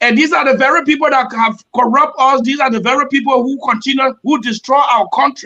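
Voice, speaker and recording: Raising and projecting his voice, a man talks at a fairly quick pace in an extremely high pitch, with a bright, sharp tone and lively intonation. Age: 60s. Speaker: presidential candidate. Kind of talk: panel debate.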